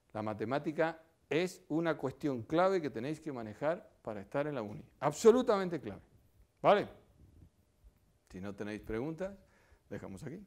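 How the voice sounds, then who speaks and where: In a very clean recording with a silent background, a man speaks at a fairly high pitch and a moderate pace. His pitch swings very widely, his loudness swings a lot, and his pauses are long and frequent. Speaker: physics professor. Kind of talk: public lecture. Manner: animated.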